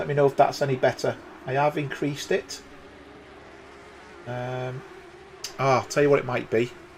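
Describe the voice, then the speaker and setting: Amid noticeable background noise, a man with a British accent talks at a moderate pace and medium pitch, with fairly even intonation and long, frequent pauses. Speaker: sim racing commentator. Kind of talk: live commentary. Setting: live stream. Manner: loud.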